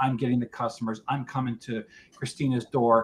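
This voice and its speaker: Talking at a very fast pace, a man has a somewhat breathy voice. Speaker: business founder presenting at networking meeting. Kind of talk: business presentation.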